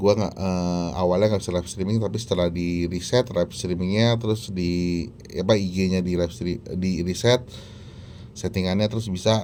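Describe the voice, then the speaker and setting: At a moderate pace, a man with a very deep, low pitch and a dark, mellow tone speaks with fairly even intonation. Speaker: tech reviewer. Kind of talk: product review. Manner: casual, with many fillers.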